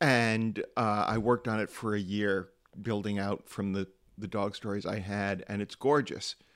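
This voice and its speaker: With an American accent, a man speaks in an ordinary speaking voice, fairly low in pitch, at a moderate pace with fairly even intonation. The recording is very clean, with a silent background. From US, small town. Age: 50s. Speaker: storyteller and humorist. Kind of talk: interview.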